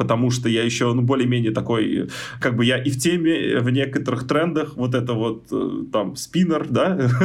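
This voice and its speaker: With audible room echo, a man of medium pitch talks at a moderate pace with ordinary pitch variation. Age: 30s. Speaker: software tester. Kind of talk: interview. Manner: animated.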